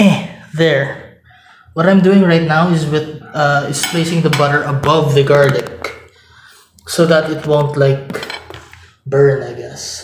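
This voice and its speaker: A man speaks very slowly in a monotone, flat delivery with long, frequent pauses. There is audible room echo and light background noise. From Philippines. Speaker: cooking vlogger. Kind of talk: cooking tutorial with casual chat. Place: kitchen. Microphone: camera far.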